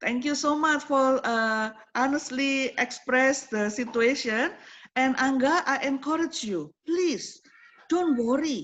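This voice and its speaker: The speech moves at a very slow pace with ordinary pitch variation. It carries an Indonesian accent. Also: woman, high pitch for a woman. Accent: Javanese-accented English. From Indonesia (Java). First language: Javanese or Indonesian. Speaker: program coordinator, lecturer. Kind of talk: online forum hosting, motivational talk. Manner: animated.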